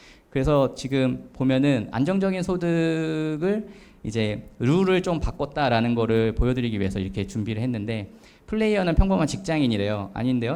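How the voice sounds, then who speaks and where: Audible room echo surrounds a man's medium-pitched voice with a dark, mellow tone. His pitch moves in very wide swings. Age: 40s. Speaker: author giving a talk. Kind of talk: lecture. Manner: hesitant with many fillers.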